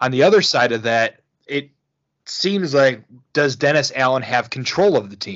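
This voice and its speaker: With lively intonation, an unremarkable speaking voice holds a moderate speed. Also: man, medium pitch for a man. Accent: American. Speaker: podcast host. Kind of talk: casual chat about football.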